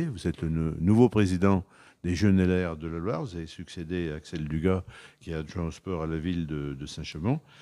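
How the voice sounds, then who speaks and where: A man speaks fairly briskly in a very deep, low voice, keeping his intonation fairly level. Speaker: TV interviewer. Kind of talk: interview questions.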